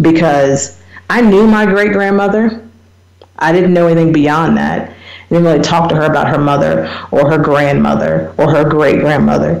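A woman with an American accent talks at a moderate pace and very even loudness. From US small town. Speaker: radio talk show host. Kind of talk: solo radio talk on research topic. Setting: internet radio show.

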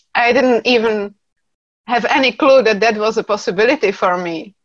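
Speaking at a moderate pace in a Czech accent, a woman has a fairly high pitch and ordinary pitch variation. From Czech Republic. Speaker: class facilitator. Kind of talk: casual interview.

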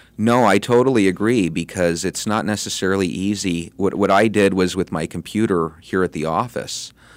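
At a moderate pace with hardly any pauses, a man with a plain, everyday voice speaks at a fairly low pitch with ordinary pitch variation, on a very clean recording with a silent background. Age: 40s. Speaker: radio show co-host / interviewer. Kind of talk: casual interview. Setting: studio.

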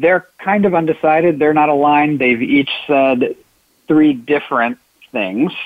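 A man in a normal speaking voice talks at a fairly slow pace and fairly high pitch, with very even loudness and ordinary pitch variation. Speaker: consultant. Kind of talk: casual interview chat.

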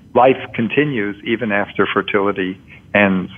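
With an unremarkable speaking voice, a man keeps a moderate tempo and a normal amount of pitch movement. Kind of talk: interview answers.

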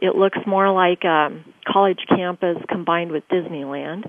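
With an American accent, a woman uses a normal speaking voice at a moderate pace with ordinary pitch variation. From grew up in Tokyo, US Air Force family. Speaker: education entrepreneur and author. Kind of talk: radio interview.

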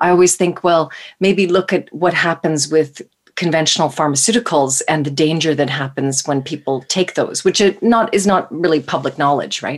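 A woman's voice, a normal speaking voice, fairly low in pitch, with ordinary pitch variation at a moderate pace. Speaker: naturopathic doctor and co-host. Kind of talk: interview. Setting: live radio show, remote.

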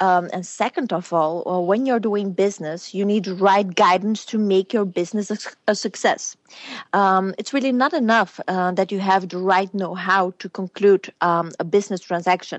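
A woman talks at a moderate pace in a Flemish accent. Her pitch is medium and her intonation fairly even. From Belgium (born in Romania). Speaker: businesswoman and former beauty queen. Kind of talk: interview. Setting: phone call.

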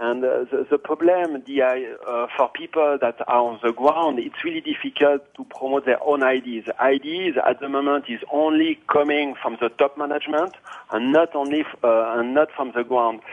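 Fairly high for a man, this ordinary speaking voice moves at a moderate pace with fairly even intonation. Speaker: IS director.

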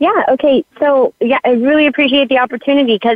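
The intonation of this woman's voice is lively. She keeps to a moderate pace. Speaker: online summit organizer. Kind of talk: casual chat.

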